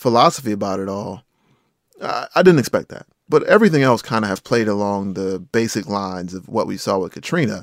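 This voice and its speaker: In an American accent, a man talks at a fairly quick pace, recorded with a dry, close sound and no echo. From eastern North Carolina, Rocky Mount. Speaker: journalist and podcaster. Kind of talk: interview conversation.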